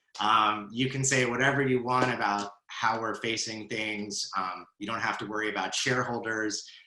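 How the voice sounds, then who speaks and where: With audible room echo, a man speaks at a moderate pace and medium pitch in a monotone, flat intonation, hardly pausing at all. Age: 40s. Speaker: conference interviewer. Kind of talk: fireside chat interview. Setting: live video stream.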